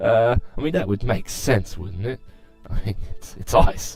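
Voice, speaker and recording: Music plays in the background. A man's voice moves through very wide pitch swings. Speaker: gameplay commentator. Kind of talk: casual gameplay commentary.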